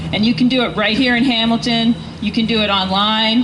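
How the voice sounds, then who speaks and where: A woman speaks in a fairly high pitch with a Northeastern US accent. There is noticeable background noise. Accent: American Northeast. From US Northeast. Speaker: political campaign volunteer speaking at rally. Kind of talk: rally speech.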